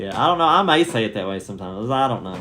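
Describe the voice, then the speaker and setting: There is audible room echo as a man with a Southern US accent talks at a moderate pace. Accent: Southern accent, milder than wife's. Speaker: family vlogger. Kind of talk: casual chat.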